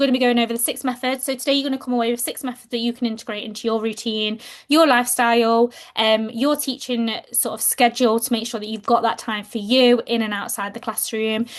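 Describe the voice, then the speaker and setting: A woman's high voice in an English accent at a very fast pace, ordinary pitch variation, quiet background. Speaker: fitness coach for teachers. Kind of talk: webinar presentation.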